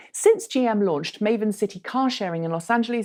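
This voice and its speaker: Lively intonation marks a woman's fairly high-pitched voice at a fairly quick pace. The recording is very clean, with a silent background. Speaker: news show host. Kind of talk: news reading. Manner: fast.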